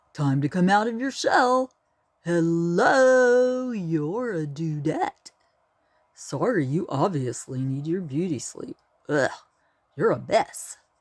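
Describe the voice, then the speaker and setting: A put-on character voice at a middle pitch moves at a fairly slow pace with long, frequent pauses. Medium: read story. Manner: surfer slang, teasing.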